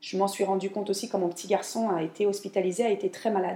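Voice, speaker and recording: Speaking at a fairly quick pace, a woman has a medium pitch and ordinary pitch variation. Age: 40s. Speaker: home organizing coach and podcaster. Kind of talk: solo podcast monologue. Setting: home kitchen. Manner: hesitant, many fillers. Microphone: new microphone, room echo.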